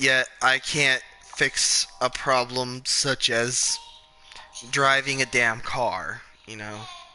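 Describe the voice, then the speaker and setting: Over music in the background, a man speaks very slowly at a medium pitch, his intonation monotone and flat while his loudness swings widely. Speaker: gaming streamer. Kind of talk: casual chat. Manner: stuttering.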